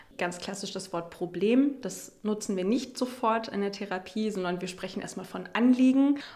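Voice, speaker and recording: With an unremarkable speaking voice, a woman speaks at a moderate pace and medium pitch, with ordinary pitch variation and hardly any pauses. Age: 20s. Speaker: sex therapist in training. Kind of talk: interview. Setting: therapy practice room.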